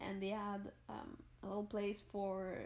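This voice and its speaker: A woman speaks at a very slow pace. She has a Quebec accent. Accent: French Canadian accent in English. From Quebec, Montreal. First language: French. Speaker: gaming YouTuber. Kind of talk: casual voice-over storytelling. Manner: halting, searches for words.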